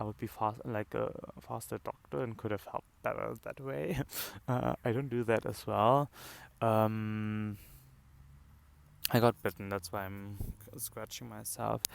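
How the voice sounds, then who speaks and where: A man with a non-native accent and fairly low pitch, at a fairly slow pace with long, frequent pauses, in a dry, close sound with no echo. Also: ordinary pitch variation. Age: 20s. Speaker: medical student. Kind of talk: casual talk to camera. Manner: hesitant, many filler words.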